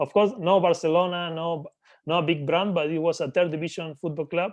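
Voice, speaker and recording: This man talks in a Spanish accent at a fairly quick pace. His voice is high-pitched, with fairly even intonation. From Argentina. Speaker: business acquisitions entrepreneur. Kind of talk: interview.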